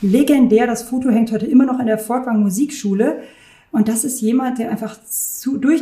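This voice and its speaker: A woman speaks at a moderate pace in a somewhat breathy, dark, mellow voice of fairly high pitch, with fairly even intonation. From Germany, Rhineland near Düsseldorf. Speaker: concert hall director. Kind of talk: interview.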